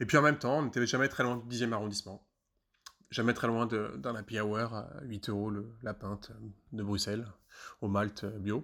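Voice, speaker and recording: Recorded very cleanly with a silent background, a man of medium pitch speaks at a moderate pace with fairly even intonation and long, frequent pauses. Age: 30s. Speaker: former colleague recounting office football. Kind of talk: mock radio testimony. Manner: halting, many repetitions and hesitations.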